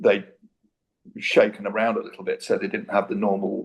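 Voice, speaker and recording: A man with an East Midlands accent talks at a moderate pace. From Britain. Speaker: debate guest, researcher. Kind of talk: debate.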